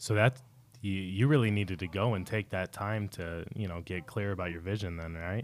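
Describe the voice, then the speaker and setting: The man has a very deep, low pitch. He speaks at a moderate pace with ordinary pitch variation. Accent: American. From Salt Lake City, Utah. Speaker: podcast host. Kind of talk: interview.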